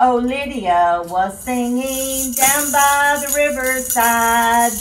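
A woman's high-pitched voice at a very slow pace, with faint music in the background. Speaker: Bible storyteller. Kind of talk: children's Bible story with singing. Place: home room. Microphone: camera far.

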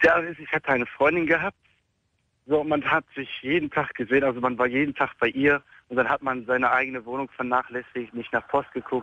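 A man talks at a fairly quick pace with a fairly high pitch and fairly even intonation, in an ordinary speaking voice. The sound is dry with no echo, over a quiet background. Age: 20s. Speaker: homeless caller. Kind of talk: phone call-in conversation. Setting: phone call while walking. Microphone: phone line.

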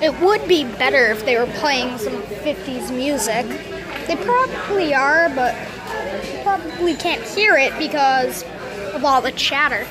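A woman speaks at a fairly slow pace with crowd noise in the background. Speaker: vlogger filming meal. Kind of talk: casual vlog chat. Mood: excited, pleased. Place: cafe. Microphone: phone near.

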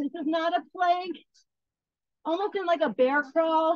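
Dry, echo-free sound at a moderate pace over a quiet background. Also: woman. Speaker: fitness instructor. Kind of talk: workout class instruction. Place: garden.

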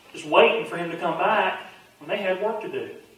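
The man here has a fairly high pitch. Strong room echo surrounds his voice.

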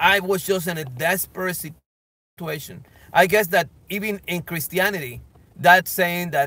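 The man's high-pitched voice, bright and sharp in tone, comes at a fairly slow pace in a dry sound with no echo. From Colombia. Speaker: evangelist. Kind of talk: personal testimony. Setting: outdoors, filming himself. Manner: halting, many fillers. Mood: earnest, emotional storytelling. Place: car. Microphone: phone near.

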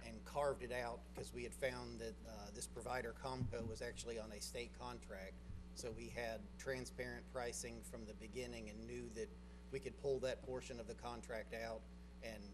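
A man's very deep, low voice at a moderate pace, with monotone, flat intonation and music in the background. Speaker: presenter. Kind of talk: formal presentation to commission. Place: hall. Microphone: podium.

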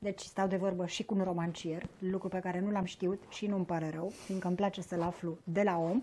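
A woman talks at a fairly quick pace in a dark, mellow tone. Her intonation is monotone and flat, with light background noise. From southern Romania (Bucharest). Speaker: interviewer. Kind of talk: interview conversation. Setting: shop. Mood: warm, measured, thoughtful. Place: home room. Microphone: lapel.

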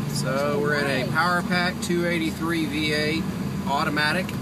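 Heard over loud background noise in a dry sound with no echo, a man speaks at a moderate pace with ordinary pitch variation. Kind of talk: casual vlog chat. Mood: relaxed, cheerful. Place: car. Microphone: phone near.

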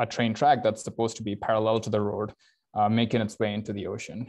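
With monotone, flat intonation, a man speaks against a quiet background. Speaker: presenter. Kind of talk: lecture. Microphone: video call.

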